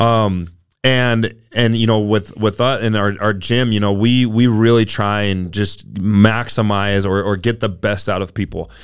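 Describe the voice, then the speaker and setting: The delivery runs at a fairly slow pace with hardly any pauses. Intonation stays monotone and flat. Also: man, fairly low pitch for a man. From Utah, US. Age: 30s. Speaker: former college football player and gym owner. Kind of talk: casual interview chat.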